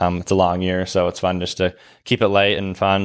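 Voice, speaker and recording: Against a silent background on a very clean recording, a man with an American accent speaks at a very fast pace in a very deep, low pitch with monotone, flat intonation. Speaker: college hockey goalie. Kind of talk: podcast interview. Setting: arena media room.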